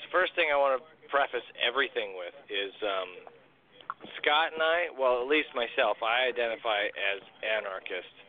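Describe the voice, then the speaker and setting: Against noticeable background noise, a man at a medium pitch speaks at a moderate pace with lively intonation and big swings in loudness. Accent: American. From rural Illinois. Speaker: podcast host. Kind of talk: casual chat.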